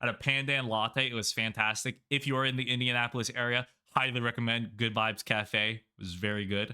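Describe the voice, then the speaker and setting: Loud and with a bright, sharp tone, the voice moves at a moderate pace on a very clean recording with a silent background. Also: man. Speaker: YouTuber / content creator. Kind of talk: casual vlog narration. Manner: casual with many fillers.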